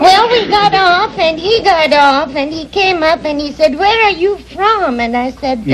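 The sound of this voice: A woman with a non-native accent speaks at a fairly slow pace with hardly any pauses, her pitch extremely high and her intonation lively. Noticeable background noise runs underneath. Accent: foreign.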